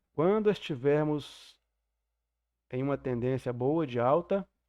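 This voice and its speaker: A man speaks very slowly in a fairly high pitch with ordinary pitch variation. The sound is dry and close with no echo, over a quiet background. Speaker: trading mentor teacher. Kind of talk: online class lecture. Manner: deliberately slow.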